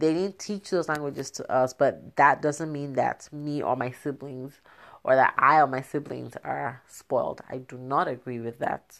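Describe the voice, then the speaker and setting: A woman's animated voice with a very deep, low pitch at a moderate pace in a very clean recording with a silent background. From southern Nigeria. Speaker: podcast host, mother. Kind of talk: casual monologue. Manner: animated, laughing often.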